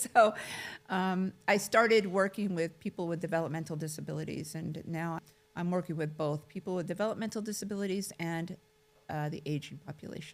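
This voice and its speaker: This woman has a plain, everyday voice, fairly low in pitch, with ordinary pitch variation and a fairly quick pace. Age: 60s. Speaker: care administrator. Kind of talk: casual chat.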